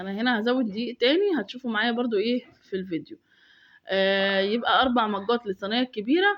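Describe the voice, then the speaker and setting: A woman's fairly high voice with an Egyptian accent, ordinary pitch variation and a fairly quick pace. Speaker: home cooking video maker. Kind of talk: cooking tutorial voiceover. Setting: recorded voiceover at home. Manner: casual, chatty with fillers.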